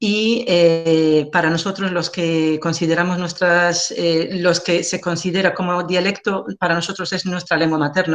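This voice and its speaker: In an Algerian accent, a woman with a fairly low pitch speaks at a fairly slow pace with fairly even intonation. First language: Algerian Arabic (speaking Spanish). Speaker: linguist. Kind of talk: lecture. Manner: halting, frequent fillers.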